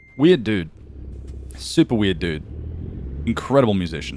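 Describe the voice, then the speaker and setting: A man with an Australian accent, very wide pitch swings and noticeable background noise. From Australia, east coast. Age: 20s. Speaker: video game streamer. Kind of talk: casual live stream chat.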